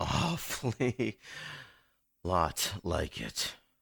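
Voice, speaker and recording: A man performs a put-on character voice at a fairly low pitch. The recording is very clean, with a silent background. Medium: audio drama. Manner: sulky, prickly, sarcastic.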